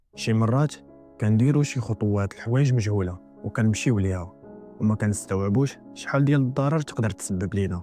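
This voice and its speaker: Music plays in the background as a man speaks at a moderate pace with very even loudness. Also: fairly low pitch for a man, ordinary pitch variation. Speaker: storyteller. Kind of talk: horror story narration.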